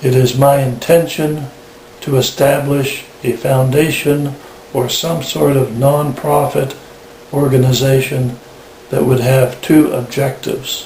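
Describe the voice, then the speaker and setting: A man speaks at a medium pitch and a fairly slow pace in a monotone, flat intonation. Noticeable background noise and audible room echo are present. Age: 60s. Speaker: patient sharing experience. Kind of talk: testimony. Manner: formal.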